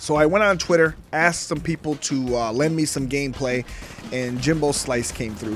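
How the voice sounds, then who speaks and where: A man talks at a moderate pace with a fairly high pitch and ordinary pitch variation. Music sounds in the background. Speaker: gaming youtuber. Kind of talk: gameplay commentary. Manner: casual, chatty.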